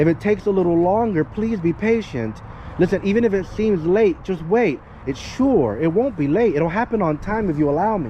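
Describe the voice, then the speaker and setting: Loud and fairly quick, a man speaks at a high pitch with lively intonation over noticeable background noise. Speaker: dog trainer. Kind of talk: casual chat. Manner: animated.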